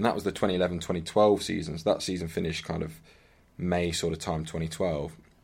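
With an English accent, a man talks very fast in a very deep, low voice and fairly even intonation. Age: 30s. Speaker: hockey player. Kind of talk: casual chat.

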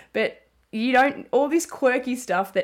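On a very clean recording with a silent background, a woman with an Australian accent speaks at a moderate pace with ordinary pitch variation. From Australia, Melbourne. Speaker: sports journalist and commentator. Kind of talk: casual interview.

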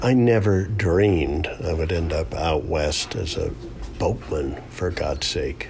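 Through noticeable background noise, a man with an American accent speaks at a very slow pace, his very deep, low pitch paired with lively intonation. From upstate New York. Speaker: boat builder and river guide. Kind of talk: casual interview. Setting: kitchen at home.

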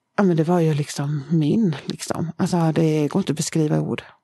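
Against a quiet background, a woman with a very deep, low pitch and a dark, mellow tone speaks at a moderate pace with ordinary pitch variation. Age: 40s. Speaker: founder of a charity. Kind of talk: personal testimony. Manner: halting, many fillers.

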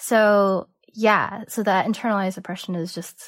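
A woman talks with a Cantonese accent and ordinary pitch variation. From San Francisco Bay Area, US. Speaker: artist. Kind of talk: casual interview chat. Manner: hesitant, fillers like um and like.

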